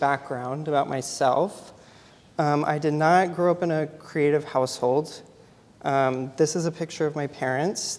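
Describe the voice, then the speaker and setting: This man's fairly high voice has ordinary pitch variation and a moderate pace. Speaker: photographer. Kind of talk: artist talk. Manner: frequent filler 'um'.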